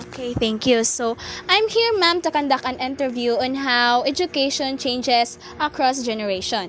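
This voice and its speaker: Over noticeable background noise, a woman talks with lively intonation at a moderate pace. Her pitch is high. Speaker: student interviewer. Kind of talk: interview.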